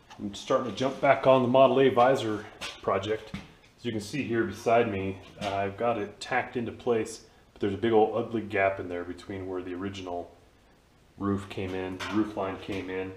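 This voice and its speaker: Against light background noise and audible room echo, a man with a fairly low pitch speaks at a moderate pace, with ordinary pitch variation and big swings in loudness. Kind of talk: tutorial. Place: garage. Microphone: phone near.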